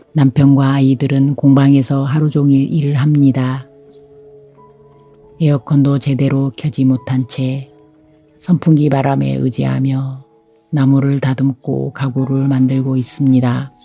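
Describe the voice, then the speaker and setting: Over music in the background, a woman with a very deep, low pitch speaks in a monotone, flat delivery at a very slow pace, with long, frequent pauses. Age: 60s. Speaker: homemaker, carpenter's wife. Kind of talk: reflective vlog voiceover narration.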